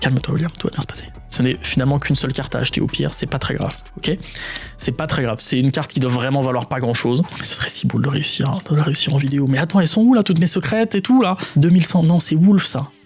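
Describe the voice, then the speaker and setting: Over noticeable background noise, a man talks very fast in a fairly high pitch with lively intonation and an animated tone. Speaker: YouTuber opening trading card packs. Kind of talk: casual card-opening commentary.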